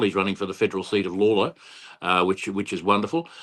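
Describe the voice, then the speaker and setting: Australian-accented male speech over a quiet background. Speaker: political candidate. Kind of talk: interview. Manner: halting.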